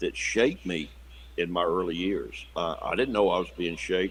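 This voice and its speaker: A man speaks with a South Carolina accent at a moderate pace. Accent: Southern US (South Carolina). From US South, South Carolina near Savannah. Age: 60s. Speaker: pastor. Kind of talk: interview conversation. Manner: halting, many repetitions and fillers.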